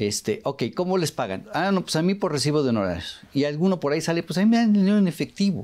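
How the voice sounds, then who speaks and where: A man rattles along very fast with hardly any pauses, keeping his loudness very even while his high-pitched voice makes very wide pitch swings. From Mexico. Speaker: radio show host. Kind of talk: casual interview. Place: studio. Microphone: lapel.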